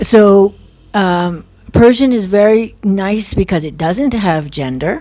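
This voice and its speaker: A woman with an American accent speaks at a very slow pace in a medium pitch, with lively intonation and a dark, mellow tone. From US. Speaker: professor. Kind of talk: interview. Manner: halting.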